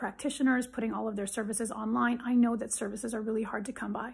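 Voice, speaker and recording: A woman's fairly high voice, monotone and flat, with vocal fry. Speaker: psychologist. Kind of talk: direct-to-camera advice video. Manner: emphatic. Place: home room. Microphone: phone near.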